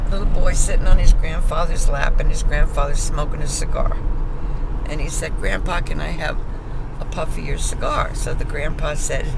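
A woman at a moderate pace, dry sound with no echo, over loud background noise. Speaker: grandmother. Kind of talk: casual joke telling. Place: car. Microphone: phone near.

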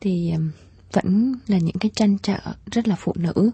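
A woman's warm, somewhat breathy voice at a fairly slow pace, with ordinary pitch variation and a dry sound with no echo. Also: quiet background. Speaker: radio host. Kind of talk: late-night radio call-in show; radio talk show hosting. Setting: studio. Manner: warm and polite. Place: studio.

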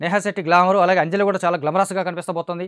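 A man speaks at a very fast pace in a high pitch, with a clear, smooth and fairly bright tone. His intonation is fairly even, and the recording is very clean with a silent background.

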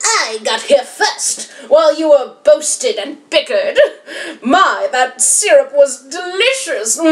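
A woman puts on a character voice, pitched high and swinging very widely in pitch at a fairly slow pace. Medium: read story. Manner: smug, gloating, sneering.

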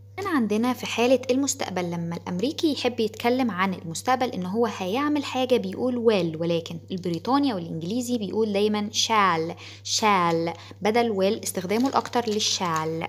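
With hardly any pauses, a woman talks at a moderate pace in an unremarkable speaking voice, her medium pitch carried by lively intonation. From Egypt. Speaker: English teacher. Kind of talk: tutorial.

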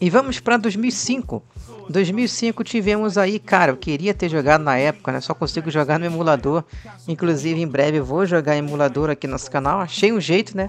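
With music in the background, a man speaks fairly quickly in a high voice with lively intonation. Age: 30s. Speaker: gaming youtuber. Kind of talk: casual video commentary. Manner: animated.

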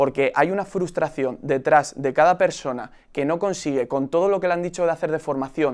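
Very fast delivery with ordinary pitch variation over a quiet background. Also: man. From Spain, Madrid region (Aranjuez); Madrid region, Spain. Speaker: youth party leader; debater. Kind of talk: political debate. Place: studio. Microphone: lapel.

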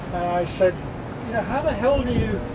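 Loud noise fills the background as a man talks at a moderate speed. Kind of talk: casual storytelling. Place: boat.

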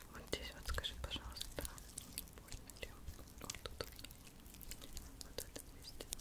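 A woman at a moderate pace, with long, frequent pauses. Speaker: ASMR creator. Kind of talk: ASMR massage roleplay. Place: home room. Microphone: studio mic.

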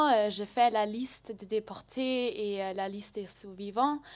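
Against a quiet background, a woman with a German accent talks at a very slow pace in a fairly high voice with fairly even intonation. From Germany. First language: German (speaking French). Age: young. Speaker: volunteer; speaker. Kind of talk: testimony. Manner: halting. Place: hall. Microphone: podium.

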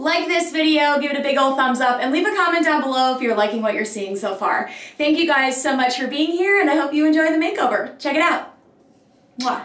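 With audible room echo, a woman talks at a fairly quick pace in a high pitch. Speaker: home decor vlogger. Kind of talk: casual vlog chat.

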